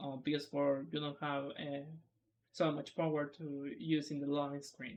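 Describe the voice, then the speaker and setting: Moderate pace, in a Spanish accent. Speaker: speedrunner. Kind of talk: tutorial. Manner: halting.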